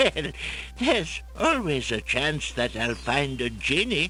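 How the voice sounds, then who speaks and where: A man's put-on character voice at a fairly slow pace over clear background noise. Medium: game stream. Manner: jolly, salesman-like.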